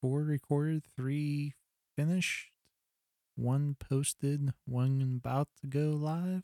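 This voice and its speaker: In a dry, close sound with no echo, a man with a fairly high pitch and a dark, mellow tone speaks very slowly in a monotone, flat intonation. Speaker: podcast host. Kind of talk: casual banter between co-hosts.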